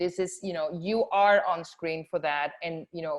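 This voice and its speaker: A woman is speaking. She talks in a Spanish accent. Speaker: film festival programmer. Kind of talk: panel discussion. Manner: halting.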